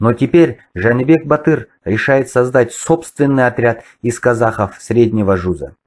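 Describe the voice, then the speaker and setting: A man with an ordinary speaking voice, medium pitch, ordinary pitch variation and a fairly slow pace with hardly any pauses. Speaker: history video blogger. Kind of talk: lecture. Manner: formal.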